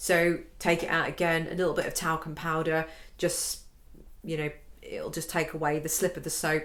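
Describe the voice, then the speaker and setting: A woman speaks at a fairly low pitch and a moderate pace. Her intonation is monotone and flat. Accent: British. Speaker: violin and piano teacher. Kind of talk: tutorial. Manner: casual, conversational with fillers.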